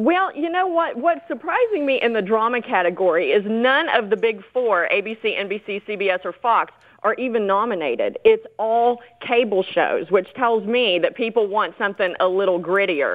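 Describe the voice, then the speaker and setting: In a Southern US accent, the speaker talks at a moderate pace with lively intonation and hardly any pauses. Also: woman, fairly high pitch for a woman. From US South. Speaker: entertainment commentator. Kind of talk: casual chat.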